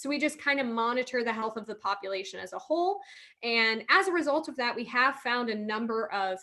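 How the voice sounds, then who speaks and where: Talking at a fairly quick pace with lively intonation, a woman with a Midwestern American accent has a bright, sharp tone. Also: fairly high pitch for a woman. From Ohio, US Midwest. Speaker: marine conservation biologist. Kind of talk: career talk to online audience. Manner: fast when excited.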